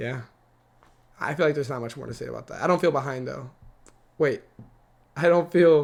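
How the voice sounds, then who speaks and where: At a fairly quick pace, a man with a fairly high pitch and vocal fry shows ordinary pitch variation, big swings in loudness, and long, frequent pauses. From United States (Ecuadorian-born, moved as infant). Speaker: vlogger. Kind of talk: casual monologue. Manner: fast.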